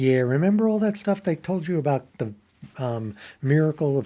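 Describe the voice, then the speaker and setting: A man speaks at a fairly quick pace with a dark, mellow tone, recorded very cleanly against a silent background. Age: 70s. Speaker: YouTuber practicing on-camera presenting. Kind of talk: impromptu solo monologue reacting to headlines. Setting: alone in an empty room talking to camera. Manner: halting, many fillers.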